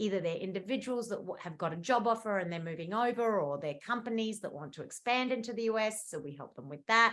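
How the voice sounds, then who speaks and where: Lively intonation carries this woman's medium-pitched voice. She talks at a very fast pace. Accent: Australian. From Australia, Adelaide. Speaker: immigration lawyer. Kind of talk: webinar presentation. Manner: casual, many fillers.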